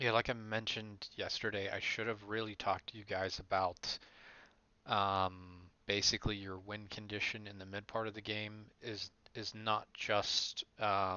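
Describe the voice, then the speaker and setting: Quiet, fairly slow speech from a man at a fairly low pitch, monotone and flat in intonation, with big swings in loudness. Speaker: esports coach. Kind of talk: game review for team. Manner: low, quiet voice.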